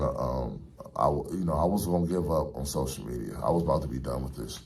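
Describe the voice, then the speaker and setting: A man speaks at a fairly quick pace with vocal fry and ordinary pitch variation. Room echo is audible. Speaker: barber and spiritual vlogger. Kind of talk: casual monologue vlog. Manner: animated; fast.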